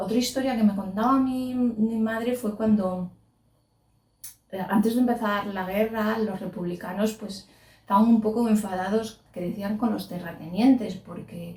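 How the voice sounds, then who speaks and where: The speaker has an ordinary speaking voice with fairly even intonation. The pace is fairly slow, and the loudness swings widely. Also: woman, fairly high pitch for a woman. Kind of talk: interview answer.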